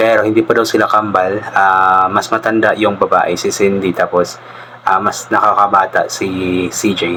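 A man talks at a fairly slow pace in a fairly low pitch, with flat, monotone intonation and very even loudness. Noticeable background noise sits behind him. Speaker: reaction video vlogger. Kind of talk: casual reaction commentary. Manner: polite, uses po.

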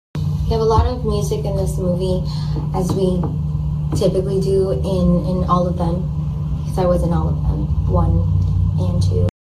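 Loud background noise sits behind a woman speaking at a moderate pace. She leaves long, frequent pauses. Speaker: actress sharing behind-the-scenes facts. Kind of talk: casual vlog chat. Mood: relaxed, cheerful. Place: home room. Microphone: phone near.

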